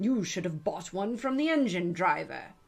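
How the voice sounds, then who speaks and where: This is a put-on character voice that sounds female, set at a middle pitch. It moves at a moderate pace. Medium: read story. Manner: brusque, angry.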